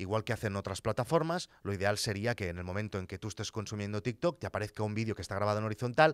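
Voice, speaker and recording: A man's voice, recorded dry and echo-free, with a quiet backdrop. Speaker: content creator podcaster. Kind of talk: commentary. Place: studio. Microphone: studio mic.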